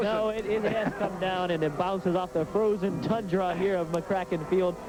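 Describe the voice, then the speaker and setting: Over noticeable background noise, a man speaks at a high pitch and a moderate pace, with fairly even intonation and very even loudness. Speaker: radio color commentator for high school football. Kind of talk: live sports radio color commentary.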